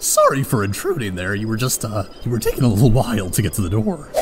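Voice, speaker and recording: A man's medium-pitched, cartoonish character voice at a very fast pace, over loud background noise. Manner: nervous, hesitant.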